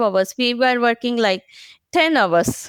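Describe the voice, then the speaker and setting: A woman with an Indian accent speaks at a fairly high pitch with ordinary pitch variation. The recording is very clean, dry and close, with a silent background and no echo. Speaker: agile professional. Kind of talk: podcast interview. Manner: hesitant, many fillers.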